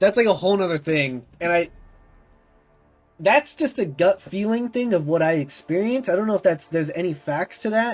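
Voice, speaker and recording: Music plays in the background behind a man. His pitch is high and his intonation lively. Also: moderate pace. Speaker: video game streamer. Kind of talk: live gameplay stream chat. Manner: casual, chatty.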